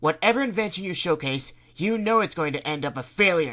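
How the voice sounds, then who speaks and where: In a put-on character voice, a man speaks loudly and projects at a fairly quick pace, high-pitched and with very wide pitch swings. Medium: read story. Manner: harsh, scolding.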